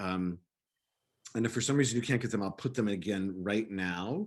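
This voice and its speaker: A plain, everyday voice carries ordinary pitch variation. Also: man. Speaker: rabbi. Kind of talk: lecture.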